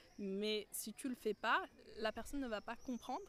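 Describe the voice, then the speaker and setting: This woman has a fairly high pitch. Her pitch variation is ordinary. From France. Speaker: marketing professional. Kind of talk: casual chat. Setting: outdoors.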